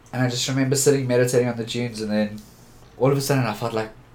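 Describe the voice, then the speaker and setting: A man talks at a very fast pace and medium pitch with fairly even intonation. Audible room echo surrounds his voice. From Johannesburg, South Africa. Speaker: photographer. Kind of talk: interview conversation.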